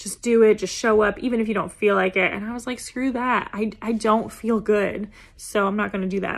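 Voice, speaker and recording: A woman speaks at a fairly high pitch and a fairly quick pace, with hardly any pauses. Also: fairly even intonation. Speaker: dance therapist and business coach. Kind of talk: solo podcast monologue.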